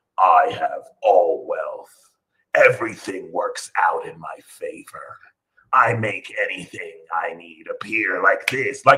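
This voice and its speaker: A man does a put-on character voice at an extremely high pitch, speaking at a fairly slow pace. His tone is serious and menacing. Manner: serious, menacing.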